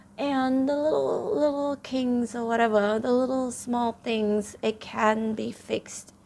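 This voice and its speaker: A woman with a non-native accent, fairly slow pace, and ordinary pitch variation. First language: not English. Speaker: tarot reader. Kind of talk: tarot reading monologue. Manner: hesitant, many fillers.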